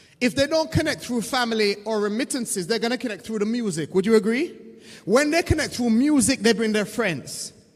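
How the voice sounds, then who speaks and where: A man talks in an extremely high-pitched voice. His intonation is lively and his pace fairly quick. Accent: British. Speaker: diaspora community leader. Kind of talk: conference panel talk. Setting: stage with audience.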